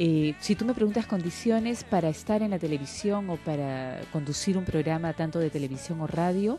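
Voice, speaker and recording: Music plays in the background as the speaker moves at a moderate pace. The intonation is lively. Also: woman, fairly low pitch for a woman. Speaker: TV news anchor. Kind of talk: interview answer.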